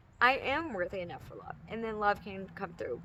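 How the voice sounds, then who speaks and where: A woman with an animated tone over noticeable background noise. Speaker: spiritual channel host. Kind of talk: spiritual talk to camera. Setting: outdoors. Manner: halting.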